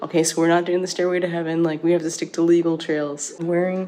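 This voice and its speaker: Noticeable background noise sits behind a voice with a monotone, flat intonation. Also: woman. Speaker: family travel vlogger, army wife and mom. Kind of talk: casual vlog narration.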